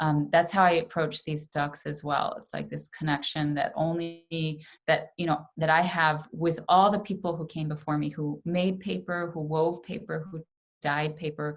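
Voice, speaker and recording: A woman's very deep, low voice with an American accent, fairly even intonation and a moderate pace over a quiet background. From New York, US. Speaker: artist and papermaker. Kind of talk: pre-recorded presentation. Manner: casual, with frequent fillers.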